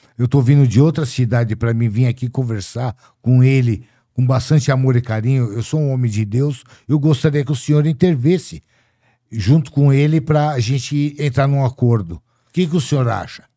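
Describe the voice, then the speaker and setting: A man talks at a moderate pace in a dark, mellow tone. The recording is very clean, with a silent background. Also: medium pitch for a man, ordinary pitch variation. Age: 60s. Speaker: debt collector. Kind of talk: casual chat. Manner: animated.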